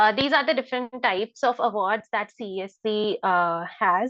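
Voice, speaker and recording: At a fairly slow pace, a woman speaks with an Indian accent. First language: Hindi. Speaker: scholarship mentor. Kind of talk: online information session. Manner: hesitant with many fillers.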